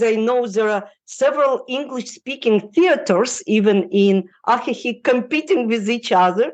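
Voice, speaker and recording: A woman's high voice with a non-native accent, lively intonation and a fairly slow pace, over a quiet background. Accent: foreign, non-native English. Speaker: relocation consultant. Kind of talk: podcast interview answer. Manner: hesitant, many fillers.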